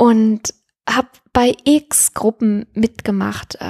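The recording is dry and close with no echo, capturing a woman with a fairly high pitch. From Siegerland, western Germany. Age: 40s. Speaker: former marketing worker turned alpine herder. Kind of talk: personal life-story interview. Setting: at home on a sofa.

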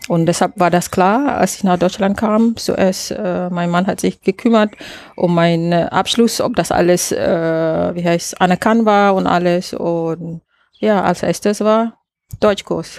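In a very clean recording with a silent background, a woman with a Malaysian accent talks at a very slow pace and a fairly low pitch with ordinary pitch variation. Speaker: landscape architect and caterer. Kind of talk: interview. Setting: outdoors in a garden. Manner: hesitant, frequent fillers.

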